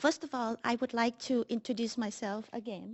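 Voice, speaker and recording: A woman with a Vietnamese accent speaks at a high pitch and moderate pace with fairly even intonation. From Vietnam, Saigon. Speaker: classical guitarist and music teacher. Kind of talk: personal speech. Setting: city hall council chambers. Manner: halting, many fillers.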